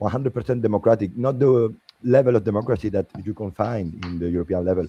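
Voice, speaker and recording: A man with a slight French accent talks at a fairly quick pace in a fairly low, dark, mellow, somewhat breathy voice with ordinary pitch variation and a dry, close sound with no echo. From Spain. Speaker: political party member, panelist. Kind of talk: panel debate. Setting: livestream. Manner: halting.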